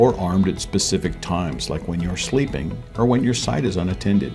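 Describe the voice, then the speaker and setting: Over background music, a man with a very deep, low voice talks fairly quickly, his pitch swinging very widely. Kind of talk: corporate promotional narration.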